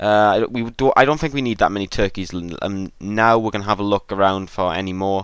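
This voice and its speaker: A man with an ordinary speaking voice, fairly low in pitch, with ordinary pitch variation, a fairly quick pace and hardly any pauses, in a very clean recording with a silent background. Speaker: gaming video creator. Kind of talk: gameplay tutorial.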